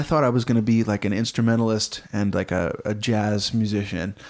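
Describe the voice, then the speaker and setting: The speaker is a man with a normal speaking voice. His pitch is medium and his pace is moderate. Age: 20s. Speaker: musician and performer. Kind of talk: casual chat. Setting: in person.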